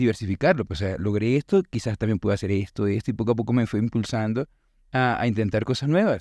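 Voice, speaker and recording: In a Venezuelan accent, the speaker talks at a fairly quick pace with a dark, mellow tone and ordinary pitch variation, the sound dry and close with no echo against a quiet background. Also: man. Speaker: teacher and musician. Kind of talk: interview conversation.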